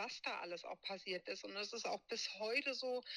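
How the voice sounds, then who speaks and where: Her voice has a bright, sharp tone and a fairly high pitch for a woman. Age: 30s. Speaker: abuse survivor and advocate. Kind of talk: interview testimony.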